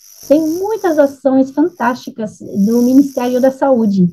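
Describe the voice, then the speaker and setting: A woman's voice with lively intonation. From France. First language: French (speaking Portuguese). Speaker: nutrition expert. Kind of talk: panel discussion.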